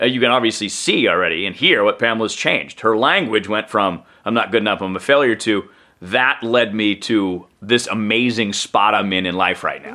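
A man speaks with a fairly low pitch. His tone is bright and sharp. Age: 40s. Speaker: radio talk show host and communication coach. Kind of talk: casual interview chat.

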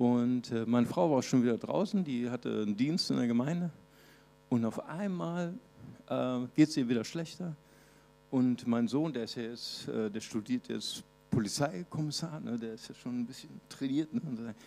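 A man talks at a moderate pace with a medium pitch. His tone is dark and mellow, and his intonation lively. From Brazil (Recife). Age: 50s. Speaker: pastor. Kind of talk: sermon.

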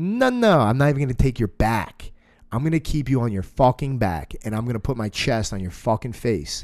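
Over a quiet background, a man with a normal speaking voice talks at a fairly quick pace with lively intonation. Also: medium pitch for a man. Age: 30s. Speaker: jiu-jitsu academy owner and podcast host. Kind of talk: casual chat.

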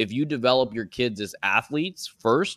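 A man speaks at a medium pitch with an American accent and ordinary pitch variation. The recording is very clean, with a silent background. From Florida, US. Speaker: youth golf coach and business owner. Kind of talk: casual interview.

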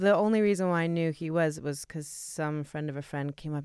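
A woman's ordinary speaking voice, fairly low in pitch, at a fairly quick pace with fairly even intonation, on a very clean recording with a silent background. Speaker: podcast host interviewer. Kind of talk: casual interview chat.

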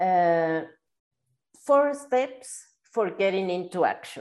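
Speaking at a very slow pace, a woman talks with a Spanish accent. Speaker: podcast host. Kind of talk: interview. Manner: halting.

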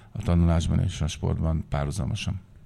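A man's very deep, low voice, dark and mellow in tone, at a moderate pace with fairly even intonation. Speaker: sports federation secretary general. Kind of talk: panel discussion.

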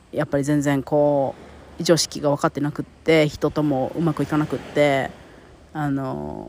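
In a monotone, flat intonation, a woman speaks at a fairly slow pace with a very deep, low pitch. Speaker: podcast host and life coach. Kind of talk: casual monologue.

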